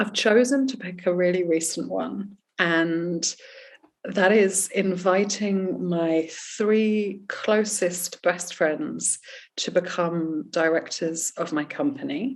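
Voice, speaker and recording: A woman speaks at medium pitch with a strong English accent. Her pace is very slow. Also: ordinary pitch variation. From England. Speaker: life coach and author. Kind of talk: interview. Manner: expressive.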